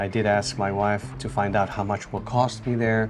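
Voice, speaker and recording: A man with a Tunisian accent and a fairly low pitch speaks at a moderate pace with ordinary pitch variation. Music plays in the background. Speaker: returned emigrant, former restaurant owner. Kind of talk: interview. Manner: hesitant, with filler sounds.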